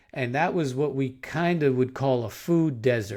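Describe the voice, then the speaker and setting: A man talks in a New York accent at a moderate pace and medium pitch. His pitch varies in an ordinary way, and the recording is very clean with a silent background. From Long Island, New York. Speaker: podcast host, professor. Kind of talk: casual interview chat.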